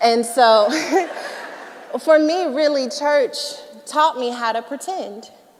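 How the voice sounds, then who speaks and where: Noticeable background noise sits behind a woman who talks with an American accent and ordinary pitch variation. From US South. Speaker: author and speaker. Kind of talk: testimony. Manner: conversational with fillers.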